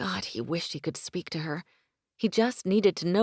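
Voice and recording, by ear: The speaker is reading aloud in a natural voice, with ordinary pitch variation. The background is quiet.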